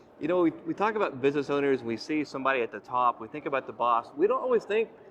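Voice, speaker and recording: Over noticeable background noise, a man speaks at a very fast pace with a fairly high pitch and lively intonation. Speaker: HVAC channel host. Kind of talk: casual interview. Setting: trade expo floor.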